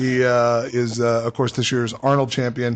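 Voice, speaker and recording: A man with an American accent, medium pitch and moderate pace. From Los Angeles. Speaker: radio co-host. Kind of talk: casual chat.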